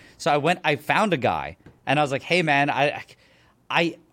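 Recorded very cleanly against a silent background, a man speaks at a moderate pace with a fairly high pitch, ordinary pitch variation and vocal fry. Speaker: YouTuber. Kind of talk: casual chat.

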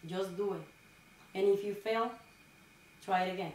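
A woman with a Dominican accent speaks at a fairly slow pace, with noticeable background noise and audible room echo. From rural Dominican Republic. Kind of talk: interview.

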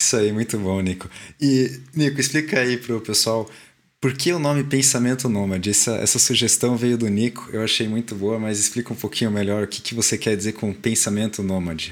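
At a fairly quick pace, a man with a normal speaking voice talks at a medium pitch with ordinary pitch variation. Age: 20s. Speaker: podcast co-host, mechanical engineer. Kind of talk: casual chat.

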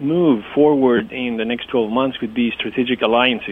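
Noticeable background noise sits under the voice. The intonation stays fairly even, with a Greek accent. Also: man. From Greece (Athens). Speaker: domain investor and website developer. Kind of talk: interview. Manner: hesitant, many fillers.

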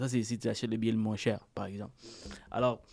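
A man speaks in a flat monotone at a medium pitch, his tone dark and mellow, on a very clean recording with a silent background. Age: 30s. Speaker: mortgage broker. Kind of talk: interview.

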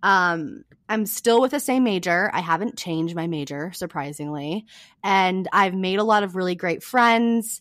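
Speaking with an American accent, a woman uses lively intonation. Her pitch is medium and her pace moderate. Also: very clean recording, silent background. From small-town California. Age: 20s. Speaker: student and podcaster. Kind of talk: casual interview chat. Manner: laughs often.

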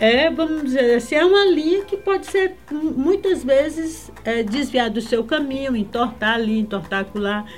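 A woman's high voice, fairly slow with hardly any pauses and very wide pitch swings, over noticeable background noise. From Brazil, Acre (Rio Branco). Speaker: culture expert. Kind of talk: casual chat. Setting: studio.

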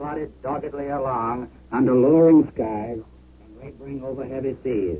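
A man speaks at a moderate pace and a medium pitch with fairly even intonation. It is an unremarkable speaking voice. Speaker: war correspondent. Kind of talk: eyewitness report.

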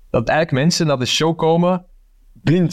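A man with a Flemish accent speaks at a moderate pace. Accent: Flemish Dutch. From Flanders, Belgium. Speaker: comedian and actor. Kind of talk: casual chat. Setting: video call. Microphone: plain headset, poor audio quality.

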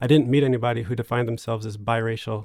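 Here is a man with an unremarkable speaking voice and a medium pitch. He talks at a fairly quick pace with fairly even intonation. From US, New Jersey suburbs. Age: 30s. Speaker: writer and memoirist. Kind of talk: interview conversation.

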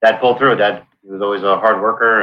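The voice belongs to a man. He delivers his words in a monotone, flat intonation. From Brooklyn, New York, then South Florida. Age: 50s. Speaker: navy veteran. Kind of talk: casual chat.

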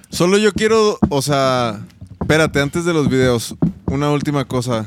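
Against noticeable background noise, a man talks fairly slowly at a fairly high pitch. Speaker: co-host. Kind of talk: casual chat.

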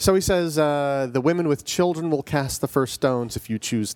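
With a normal speaking voice, this man talks at a fairly quick pace with ordinary pitch variation, recorded dry and close with no echo, very clean against a silent background. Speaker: podcast co-host. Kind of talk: casual discussion.

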